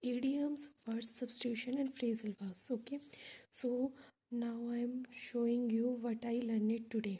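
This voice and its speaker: In an Indian accent, a woman talks at a high pitch and a fairly slow pace with monotone, flat intonation. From India, Delhi. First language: Hindi. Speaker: English learner vlogger. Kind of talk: casual vlog, reading vocabulary list. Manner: halting, many fillers.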